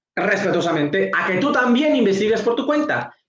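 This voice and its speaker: At a moderate pace, a man talks. His intonation is lively. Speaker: evangelical pastor and apologist. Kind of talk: apologetics rebuttal monologue. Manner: halting, self-correcting.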